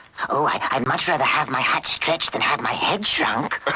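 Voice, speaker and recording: A cartoonish character voice in a low-to-middle pitch moves at a moderate pace. Clear background noise sits behind it. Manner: polite, earnest.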